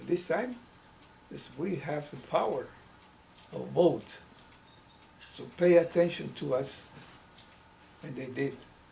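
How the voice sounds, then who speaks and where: Fairly slow, fairly high-pitched male speech in a Mexican accent, with long, frequent pauses, ordinary pitch variation and audible room echo. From Mexico, state of Hidalgo. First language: Spanish. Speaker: civil rights activist. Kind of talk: oral history interview. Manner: halting, with self-corrections.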